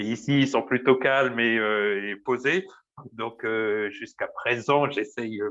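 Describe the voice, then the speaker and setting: A man speaks very slowly at a medium pitch with ordinary pitch variation against a quiet background. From Paris region, France. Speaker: baker. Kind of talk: interview. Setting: small room at work. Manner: loud; hesitant, many fillers.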